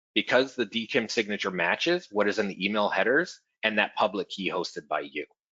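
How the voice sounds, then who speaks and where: Speaking in a normal speaking voice, a man goes at a fairly quick pace with fairly low pitch and lively intonation. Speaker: cybersecurity presenter. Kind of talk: webinar presentation.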